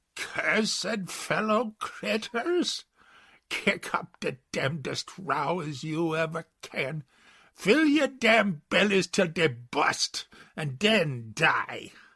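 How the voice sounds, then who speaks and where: A man puts on a shrill, high-pitched character voice and speaks at a very slow pace. The recording is very clean, with a silent background. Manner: crying out, cursing.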